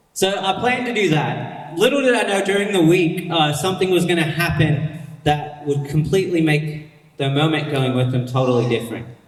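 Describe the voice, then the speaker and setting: Lively intonation marks this man's fairly high voice. Noticeable background noise and audible room echo come through as well. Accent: American. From United States. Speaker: pastor. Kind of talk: sermon. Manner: casual, conversational.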